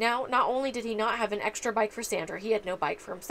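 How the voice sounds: Fairly even intonation in a natural reading voice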